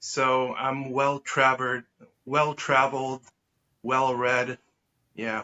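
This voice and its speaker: A man speaks very slowly, with long, frequent pauses. His intonation is monotone and flat. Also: medium pitch for a man. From Israel. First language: Hebrew. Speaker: artist and educator. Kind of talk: interview conversation. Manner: hesitant, many fillers.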